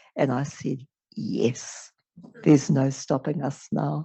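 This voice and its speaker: Vocal fry from a woman at a fairly slow pace. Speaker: activist. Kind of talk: panel talk.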